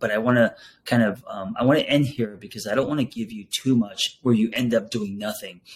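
Speaking at a fairly quick pace with ordinary pitch variation, a man uses a plain, everyday voice at medium pitch on a very clean recording with a silent background. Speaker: podcast host and therapist. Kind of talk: podcast interview.

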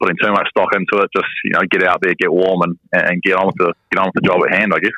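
A man's very fast speech in a New Zealand accent, fairly low in pitch, bright and sharp in tone, with a dry, close sound and no echo. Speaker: professional cricketer. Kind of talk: radio interview.

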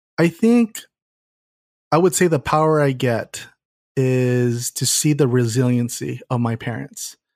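Recorded dry and close with no echo and a silent background, a man speaks in an American accent at medium pitch with ordinary pitch variation. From Southern California, San Gabriel Valley. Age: 30s. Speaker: marketer and keynote speaker. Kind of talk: interview conversation.

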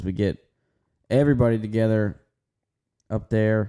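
A man's fairly low voice carries a dark, mellow tone in a dry, close sound with no echo. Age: 20s. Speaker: podcast co-host and NASCAR pit crew member. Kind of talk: casual chat.

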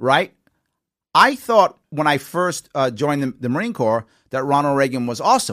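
A man with a New York accent, fairly high in pitch, lively in intonation and bright and sharp in tone, at a moderate pace, in a dry, close sound with no echo. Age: 50s. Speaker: talk show host and former candidate. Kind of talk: call-in talk show interview. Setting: studio.

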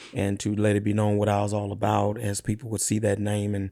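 On a very clean recording with a silent background, a man with a Louisiana accent talks at a fairly quick pace. His intonation is monotone and flat. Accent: Southern US, Louisiana. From rural Louisiana, East Feliciana Parish. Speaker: dump truck business owner. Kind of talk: interview conversation.

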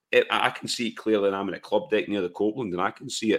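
Very fast pace, ordinary pitch variation and a fairly bright tone. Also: man, fairly low pitch for a man.

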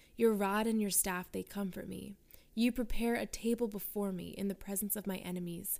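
A woman speaks in an ordinary speaking voice at a medium pitch, with a moderate pace and fairly even intonation. The recording is very clean, with a silent background. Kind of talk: guided prayer.

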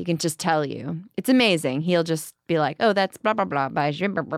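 A plain, everyday voice from a woman, fairly low-pitched with ordinary pitch variation, on a very clean recording with a silent background and a dry, close sound with no echo. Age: 30s. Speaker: singer. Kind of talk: casual chat.

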